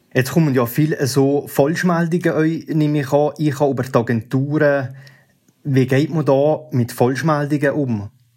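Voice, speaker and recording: This is a normal speaking voice at a moderate pace. The intonation stays fairly even. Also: man, fairly high pitch for a man. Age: 20s. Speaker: listener asking questions. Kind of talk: interview.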